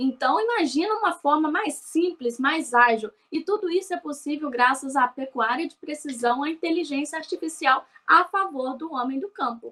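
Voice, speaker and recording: A woman's raised, projected voice rings out at a high pitch with a bright, sharp tone. She sounds animated, with lively intonation. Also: moderate pace. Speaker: livestock program host. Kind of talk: scripted presentation; interview.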